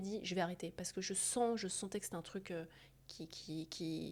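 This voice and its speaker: The tone is dark and mellow. Speech moves at a fairly quick pace with ordinary pitch variation. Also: woman. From France. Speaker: surgeon and entrepreneur. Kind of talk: interview conversation. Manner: hesitant, many fillers and repetitions.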